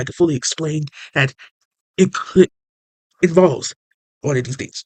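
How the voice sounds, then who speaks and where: A man talks at a fairly quick pace. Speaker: channel owner explaining SCP lore. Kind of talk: casual explainer video. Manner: halting.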